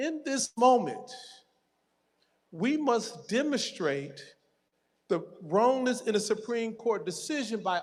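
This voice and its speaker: A man with an American accent talks in a high pitch. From Detroit, Michigan. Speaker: political organizer. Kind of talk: rally speech.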